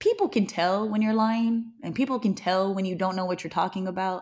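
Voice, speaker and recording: The recording is very clean with a silent background, carrying an unremarkable speaking voice with ordinary pitch variation. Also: woman. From California (Newman, Central Valley), Hawaiian family. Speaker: radio host and model. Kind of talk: casual chat.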